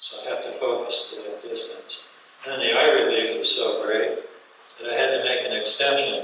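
A man talks at a moderate pace with big swings in loudness, in strong room echo with light background noise. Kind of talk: lecture. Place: hall. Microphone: camera far.

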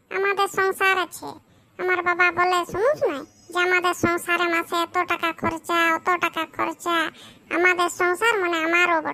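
A woman uses a cartoonish character voice pitched extremely high. Her intonation stays monotone and flat at a moderate pace. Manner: worried, fretful.

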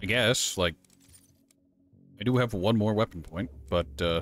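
Music plays in the background as a man speaks at a fairly slow pace. His pitch is fairly low, and his intonation is lively. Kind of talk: casual gameplay commentary to camera. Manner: conversational, talking to stream viewers.

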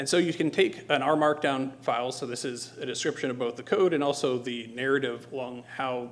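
At a fairly quick pace, a man talks in a medium pitch with fairly even intonation.

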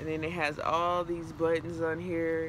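Over noticeable background noise, a woman with a fairly low pitch talks at a moderate pace. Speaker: fashion vlogger. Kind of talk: casual vlog chat. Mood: enthusiastic, upbeat. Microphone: phone near.

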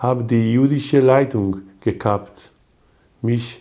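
A man at medium pitch, with fairly even intonation and a very slow pace, over a quiet background. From Israel, Haifa. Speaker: poet. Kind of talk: poetry reading. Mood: calm, reflective. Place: home room.

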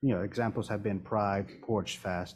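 A man talks at a moderate pace in an unremarkable speaking voice, his intonation fairly even. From Washington DC. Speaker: village manager; council member or official. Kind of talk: council meeting discussion. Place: meeting room. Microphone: podium.

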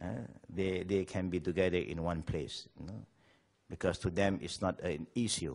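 Over a quiet background, a man speaks with a very deep, low pitch and vocal fry. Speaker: speaker. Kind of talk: interview answer. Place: home room.

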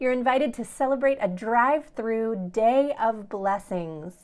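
At a fairly slow pace, a woman speaks with a high pitch. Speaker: pastor. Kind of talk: worship welcome and announcements. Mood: warm, friendly. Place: home room. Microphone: phone near.

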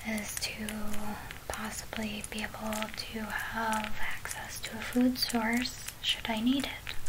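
A woman speaks in a whisper. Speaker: vlogger. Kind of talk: casual vlog chat. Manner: soft, quiet ASMR rambling. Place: home room. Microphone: phone near.

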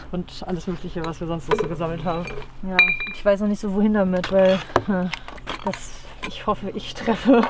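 A woman speaks with a dry sound and no echo. Background noise is noticeable. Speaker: gardener vlogger. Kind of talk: casual vlog chat. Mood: playful, slightly unsure. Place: garden. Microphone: camera far.

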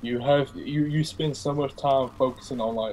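This is a plain, everyday voice from a man at a moderate pace. His intonation is fairly even, with light background noise. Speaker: podcast guest, law student; podcast guest. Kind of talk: casual chat. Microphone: video call.

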